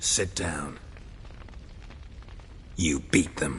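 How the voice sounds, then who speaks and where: Someone does a put-on character voice over clear background noise. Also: man, very deep, low pitch for a man. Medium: video game. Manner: terse, dry, flat.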